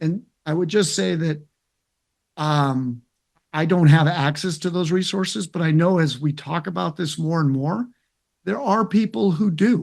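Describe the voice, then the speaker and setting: Against a quiet background, a man with a fairly high pitch and ordinary pitch variation speaks at a moderate pace, with long, frequent pauses. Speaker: interventional cardiologist. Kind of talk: interview. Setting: webinar video call. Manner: loud.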